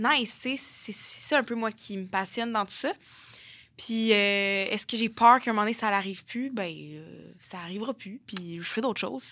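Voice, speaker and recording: A woman with a fairly high pitch and a bright, sharp tone speaks at a moderate pace with ordinary pitch variation. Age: 20s. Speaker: content creator. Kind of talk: interview.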